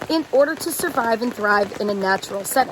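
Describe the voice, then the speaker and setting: The speech has lively intonation, and noticeable background noise can be heard. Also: woman. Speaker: science teacher / educational video host. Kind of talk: educational talk to camera. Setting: outdoors at a campground in the rain. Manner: quiet, subdued voice.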